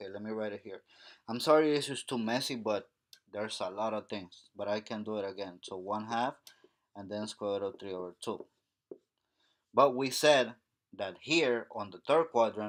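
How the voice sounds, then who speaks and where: A man speaks at a moderate pace with ordinary pitch variation and long, frequent pauses, recorded very cleanly against a silent background. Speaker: math teacher. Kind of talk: tutorial.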